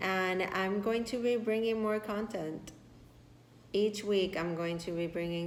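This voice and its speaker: Amid audible room echo, a woman with a Spanish accent talks at a fairly slow pace in a warm tone, her intonation monotone and flat. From Puerto Rico. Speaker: tarot reader. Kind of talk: tarot reading. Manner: warm, affirming.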